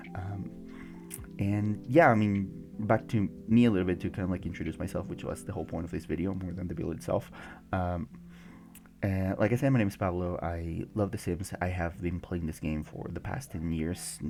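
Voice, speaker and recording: In a Mexican accent, a man speaks at a moderate pace with ordinary pitch variation. His pitch is very deep and low. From Mexico. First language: Spanish. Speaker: gaming YouTuber. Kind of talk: casual commentary over a game build video. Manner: halting, many fillers.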